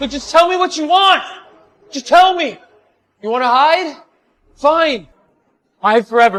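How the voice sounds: A man's put-on character voice, extremely high-pitched and fairly bright, with lively intonation at a fairly slow pace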